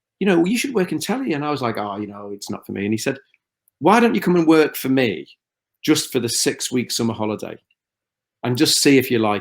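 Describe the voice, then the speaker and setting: In a Liverpool accent, a man rattles along at a very fast pace, his medium pitch making very wide swings. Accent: Scouse. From Liverpool, northern England. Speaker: TV producer. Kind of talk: interview. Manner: halting, repeats words.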